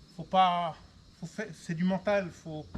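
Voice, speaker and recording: A man talks loudly with a high voice. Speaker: vlogger. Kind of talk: personal video diary. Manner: halting.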